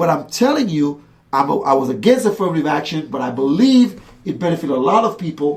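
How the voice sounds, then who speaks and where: The speaker has a Caribbean accent and an animated tone. The pace is very fast. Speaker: political commentator. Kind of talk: heated debate. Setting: radio show streamed live.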